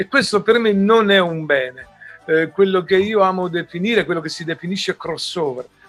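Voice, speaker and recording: Music plays in the background as a high-pitched man speaks at a moderate pace with ordinary pitch variation. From Italy. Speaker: musician. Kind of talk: interview answer.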